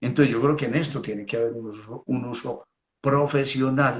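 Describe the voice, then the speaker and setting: Here a man is speaking. His voice is somewhat breathy. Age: 60s. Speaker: veterinarian. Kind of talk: technical talk. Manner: halting, repeats words.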